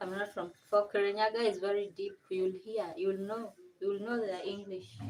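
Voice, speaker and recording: At a fairly slow pace, a woman speaks with a Kenyan accent. Her pitch is medium. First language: Kenyan mother tongue. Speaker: vlogger. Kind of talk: casual livestream chat. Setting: home kitchen livestream.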